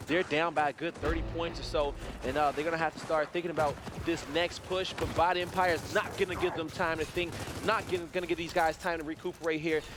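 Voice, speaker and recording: A man speaks at a very fast pace in a high voice, with music playing in the background. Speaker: esports commentator. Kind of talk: live commentary. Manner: animated.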